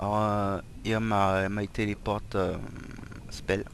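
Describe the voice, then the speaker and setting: He is a man with a non-native accent and a fairly low voice. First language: not English. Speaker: gaming tutorial creator. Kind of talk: tutorial. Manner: halting, many fillers.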